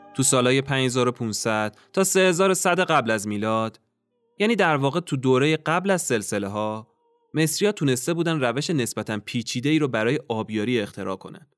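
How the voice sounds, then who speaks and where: With music in the background, a man speaks at a medium pitch in a dramatic tone with lively intonation. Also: moderate pace. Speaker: podcast host and storyteller. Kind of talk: history documentary narration. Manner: measured storytelling, dramatic and vivid.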